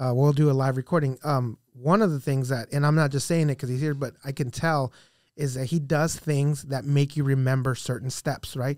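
At a moderate pace, a man with an unremarkable speaking voice and fairly high pitch keeps his intonation fairly even in a very clean recording with a silent background. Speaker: Army veteran and podcaster. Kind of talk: casual chat.

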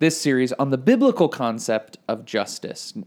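A man with an unremarkable speaking voice, moderate pace and ordinary pitch variation. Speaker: podcast host, Bible teacher. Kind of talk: casual podcast teaching. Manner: casual, with fillers.

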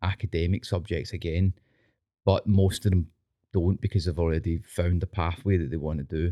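In a Scottish accent, a man speaks at a moderate pace with a very deep, low pitch and a dark, mellow tone on a very clean recording with a silent background. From Scotland. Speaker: teacher and dance instructor. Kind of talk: casual chat. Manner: animated.

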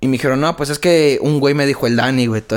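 A man with a Mexican accent at a very fast pace, his intonation fairly even. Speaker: rapper. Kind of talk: casual chat.

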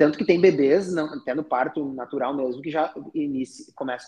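With a southern Brazilian accent, a man speaks at a moderate pace in a fairly high pitch and ordinary pitch variation. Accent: gaúcho. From Rio Grande do Sul, southern Brazil (Taquara). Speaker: chiropractor. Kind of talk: casual chat.

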